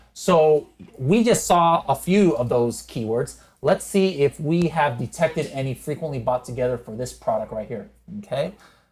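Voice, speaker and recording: At a moderate pace, a man with a fairly high pitch talks in a somewhat breathy voice with lively intonation. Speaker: e-commerce software educator and podcast host. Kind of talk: screen-share tutorial. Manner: unscripted, occasional stutters; casual, conversational.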